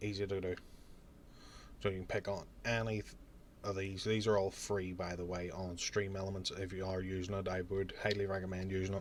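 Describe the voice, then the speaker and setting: With a Northern Irish accent, a man speaks at a very deep, low pitch and a fairly quick pace. His intonation is monotone and flat, broken by long, frequent pauses. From Northern Ireland. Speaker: streamer and YouTuber. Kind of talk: tutorial. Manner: casual.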